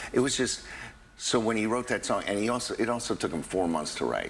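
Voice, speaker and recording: A man talks with an American accent. His pitch shows ordinary variation. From New York. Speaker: tribute performer and actor. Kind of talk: TV interview. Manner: halting.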